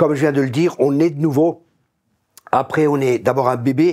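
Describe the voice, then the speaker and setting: In an ordinary speaking voice, a man talks at a fairly quick pace with fairly high pitch and fairly even intonation. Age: 60s. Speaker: pastor. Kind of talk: casual chat.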